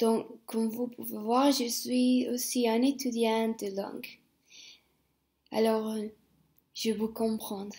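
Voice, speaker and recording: A woman with a Spanish accent, very slow, dark and mellow in tone, on a very clean recording with a silent background. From Spain. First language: Spanish (speaking French). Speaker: language teacher. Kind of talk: self-introduction video. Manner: hesitant, many fillers.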